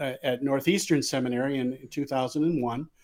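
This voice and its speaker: A man with an American accent speaks at a moderate pace in a fairly high pitch, his tone dark and mellow and his intonation fairly even. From Michigan. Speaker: pastor. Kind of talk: interview. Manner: halting.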